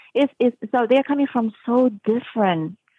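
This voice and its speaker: A woman with a Spanish accent and ordinary pitch variation. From Uruguay. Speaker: music professor. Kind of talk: interview.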